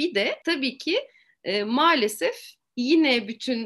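Her pitch is high and swings very widely. The woman is heard against a quiet background. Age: 40s. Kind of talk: interview.

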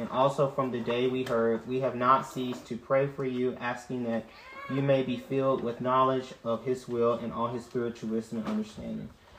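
A man at a medium pitch with fairly even intonation and a moderate pace, over noticeable background noise. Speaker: bible study participant. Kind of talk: reading aloud.

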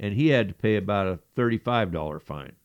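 Over a quiet background, a man with a plain, everyday voice talks at a fairly quick pace with lively intonation. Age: 60s. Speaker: podcast co-host. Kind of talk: reading news stories aloud; casual chat.

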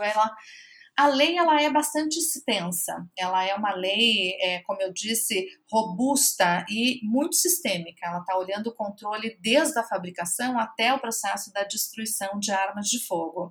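A normal speaking voice from a woman, fairly high in pitch, with lively intonation at a moderate pace. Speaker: NGO program director and public policy researcher. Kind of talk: interview.

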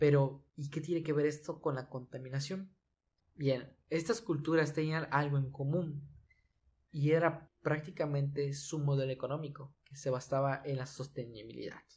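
A man talks at a moderate pace in a fairly high pitch. His voice is somewhat breathy, with fairly even intonation. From Mexico, Yucatán. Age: 20s. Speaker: podcast host. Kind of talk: solo podcast monologue on environmental topic.

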